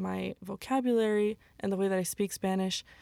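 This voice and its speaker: In a very clean, dry, close recording with no echo and a silent background, a woman speaks with an American accent at a medium pitch, her intonation flat and monotone. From US West (Utah). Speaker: university student. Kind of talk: casual panel discussion.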